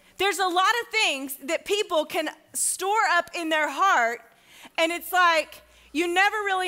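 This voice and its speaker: A woman's raised, projected voice with ordinary pitch variation against a quiet background. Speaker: pastor. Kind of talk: sermon. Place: church.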